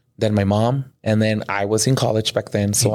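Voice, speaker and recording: The voice is an unremarkable speaking voice with an American accent. Its pitch varies in an ordinary way. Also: man. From Mexico (Veracruz) and California. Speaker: bilingual first grade teacher. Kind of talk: casual interview.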